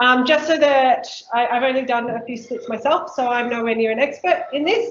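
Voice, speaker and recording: A woman's high-pitched voice in an Australian accent, with ordinary pitch variation and a moderate pace. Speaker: council workshop presenter on native bees. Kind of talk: workshop presentation.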